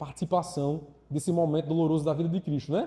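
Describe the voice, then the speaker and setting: Here a man's voice sits high in pitch yet carries a dark, mellow tone. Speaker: catechist. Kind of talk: lecture.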